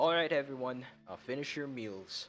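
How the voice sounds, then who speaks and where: A gruff, put-on character voice moves at a moderate pace. Faint music plays in the background. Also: man. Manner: instructing the group.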